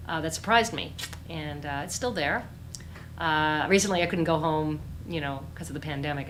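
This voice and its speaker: Through audible room echo, a woman with a very deep, low pitch talks at a very fast pace. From Newfoundland, St. John's. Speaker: author. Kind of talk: book launch Q&A. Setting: virtual event.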